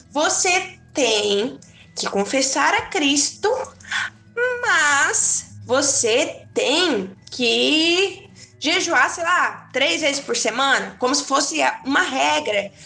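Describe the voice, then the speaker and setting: Against noticeable background noise, a woman uses a raised, projected voice at a high pitch, speaking very slowly with very wide pitch swings. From southern Brazil, Tubarão, Santa Catarina. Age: 20s. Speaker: podcast guest, young churchgoer. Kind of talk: casual chat about faith.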